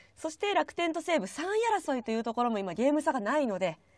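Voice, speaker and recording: Pitch swings very widely in this woman's voice. She talks at a fairly quick pace. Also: dry sound with no echo. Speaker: freelance announcer and show MC; show host. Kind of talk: live-stream baseball talk show hosting. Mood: bright, friendly. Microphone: voice echoing.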